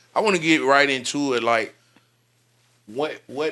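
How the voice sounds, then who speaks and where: A man speaks with an Alabama accent in a bright, sharp tone. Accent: Southern US (Alabama). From US South, Birmingham, Alabama. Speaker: podcast host. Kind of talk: casual interview.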